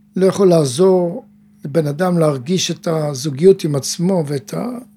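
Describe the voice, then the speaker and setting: Noticeable background noise sits behind a man's high-pitched voice. He talks at a fairly slow pace with ordinary pitch variation. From Israel, kibbutz. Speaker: mental coach and teacher. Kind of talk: casual chat. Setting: studio.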